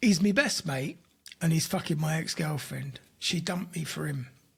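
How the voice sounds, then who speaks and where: In a put-on character voice, a man speaks raspily at a moderate pace and a fairly high pitch. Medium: read story. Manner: blunt, sweary.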